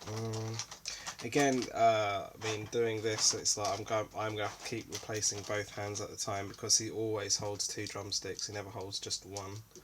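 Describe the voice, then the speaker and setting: A man with a fairly low pitch, a calm tone, flat, monotone intonation and a moderate pace, over noticeable background noise. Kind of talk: casual unboxing talk to camera. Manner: calm, low energy.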